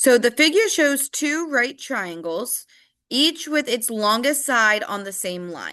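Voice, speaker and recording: A woman's high, bright, sharp voice at a very slow pace, with very wide pitch swings and big swings in loudness. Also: quiet background. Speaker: math teacher. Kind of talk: tutorial. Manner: casual.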